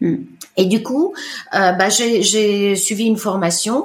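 Over noticeable background noise, a woman with an Italian accent speaks with ordinary pitch variation. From Italy, Lake Como (Bellano). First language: Italian (speaking French). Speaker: iridologist. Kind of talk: testimony. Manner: hesitant, many fillers.

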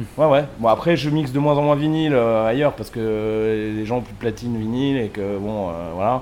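With a normal speaking voice, a man talks at medium pitch and a moderate pace, using ordinary pitch variation. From southern France, Sète area. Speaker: DJ and web radio co-founder. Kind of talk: casual chat.

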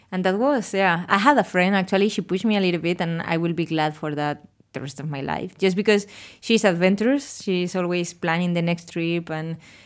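Speaking at a fairly quick pace, a woman has a Spanish accent. The recording is very clean with a silent background. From Spain. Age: 30s. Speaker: architect working abroad, guest. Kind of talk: casual interview chat.

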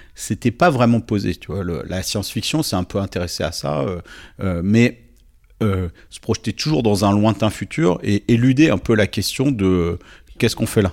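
Recorded very cleanly against a silent background, a man speaks at a moderate pace. His pitch is fairly low and his intonation lively. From southern France, Nice. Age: 40s. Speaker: writer and NGO president. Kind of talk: interview conversation. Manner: hesitant, many repetitions and fillers.

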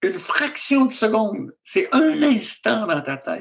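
A man with a Quebec accent, at a very slow pace, with very wide pitch swings. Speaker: physician and author. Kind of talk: interview conversation.

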